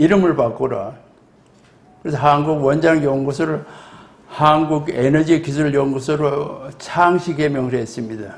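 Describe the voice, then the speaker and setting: Audible room echo surrounds a man with a fairly high pitch. He speaks at a fairly slow pace with fairly even intonation. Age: 80s+. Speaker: retired nuclear scientist, lecturer. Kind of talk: lecture.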